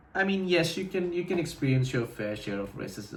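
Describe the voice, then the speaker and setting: A man speaks with lively intonation amid audible room echo and noticeable background noise. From India, Delhi NCR. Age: 20s. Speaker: vlogger. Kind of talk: casual vlog monologue. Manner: casual, with frequent fillers and repetitions.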